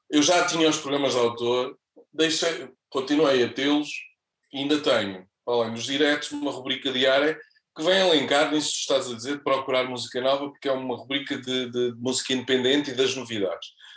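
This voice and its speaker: A plain, everyday voice, a man's fairly high pitch holds fairly even intonation at a fairly quick pace. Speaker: radio presenter. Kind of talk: casual chat. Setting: studio.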